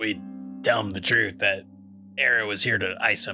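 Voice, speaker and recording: Over clear background music, a man uses a raspy put-on character voice at a fairly low pitch and a moderate pace. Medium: actual play. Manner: blunt, wisecracking.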